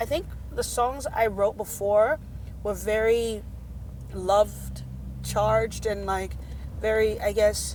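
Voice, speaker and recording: Speaking very slowly, a woman leaves long, frequent pauses. Background noise is noticeable. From Nigeria. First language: a Nigerian language. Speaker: singer-songwriter. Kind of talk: casual interview chat. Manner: animated.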